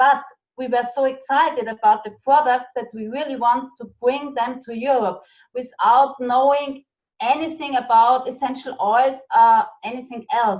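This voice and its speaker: A woman with a German accent speaks fairly slowly in a high pitch with ordinary pitch variation. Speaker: network marketing business leader. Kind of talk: casual interview chat. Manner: halting.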